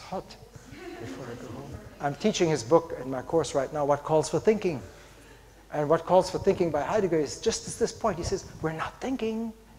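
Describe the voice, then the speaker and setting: A man with a fairly high pitch talks at a fairly quick pace with lively intonation and big swings in loudness, over noticeable background noise. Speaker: philosophy professor. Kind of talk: conference lecture. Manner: fast; animated.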